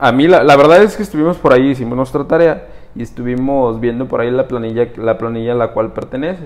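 A man at medium pitch rattles along at a very fast pace with ordinary pitch variation. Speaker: podcast co-host. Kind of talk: casual interview chat. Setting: studio.

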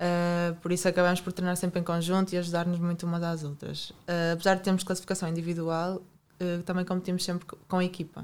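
A fairly low-pitched woman's voice, monotone and flat, with hardly any pauses, on a very clean recording with a silent background. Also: fairly quick pace. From Portugal, Porto. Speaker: Olympic gymnast and sports science student. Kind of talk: interview.

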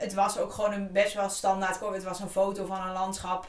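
A woman talks at a fairly quick pace with audible room echo. Noticeable background noise sits behind her. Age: 30s. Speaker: podcast co-host and book cover designer. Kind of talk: scripted outro; casual chat.

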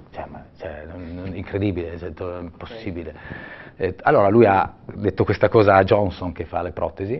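A man's very deep, low, somewhat breathy voice at a moderate pace, fairly even in intonation but with big swings in loudness. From Italian mountains. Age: 50s. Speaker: ultra-cyclist and bike shop owner. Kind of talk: casual interview. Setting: studio. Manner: halting.

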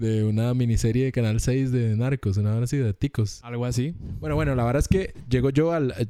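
In a Costa Rican accent, a man speaks at a fairly quick pace. His voice is medium in pitch with a dark, mellow tone and ordinary pitch variation. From Costa Rica, Moravia (San José). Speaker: podcast host. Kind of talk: casual chat.

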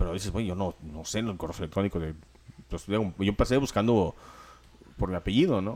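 With long, frequent pauses, a man speaks at a fairly quick pace and a fairly low pitch, with ordinary pitch variation. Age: 40s. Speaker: podcast co-host. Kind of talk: casual chat.

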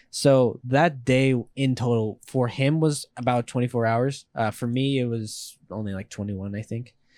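A man's ordinary speaking voice at a medium pitch, moderate pace and fairly even intonation, with hardly any pauses, on a very clean recording with a silent background. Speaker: podcast guest, scooter rider. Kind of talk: casual chat.

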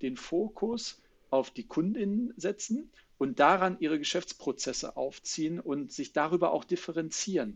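Lively intonation marks this man's speech. He keeps to a moderate speed. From Germany, Ruhr area. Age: 30s. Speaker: sales consultant. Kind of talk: interview.

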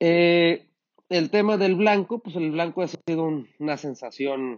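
A man speaks at a very slow pace. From Mexico, Sinaloa. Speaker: winemaker. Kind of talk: interview. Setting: wine cellar. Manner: halting.

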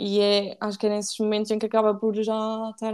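A woman speaks at a fairly quick pace with a fairly high pitch. Her tone is dark and mellow. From Portugal, Aveiro district. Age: 20s. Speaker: podcast guest, recent university student. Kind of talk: casual chat. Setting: remote recording.

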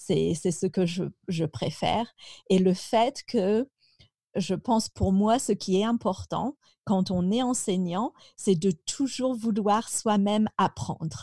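A woman speaks very slowly in a medium-pitched, somewhat breathy voice with a dark, mellow tone, ordinary pitch variation and very even loudness. The sound is dry and close with no echo, in a very clean recording over a silent background. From France, Picardy. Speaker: French teacher. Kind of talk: interview.

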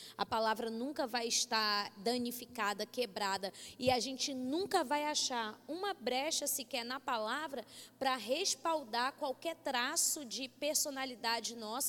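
Speaking fairly slowly, a woman uses a high-pitched voice with ordinary pitch variation. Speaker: Bible teacher. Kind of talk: sermon. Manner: incisive, can sound like arguing.

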